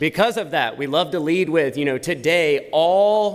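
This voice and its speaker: The man's pitch shifts in an ordinary, typical way as he talks. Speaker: tech company presenter. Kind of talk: conference presentation. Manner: loud.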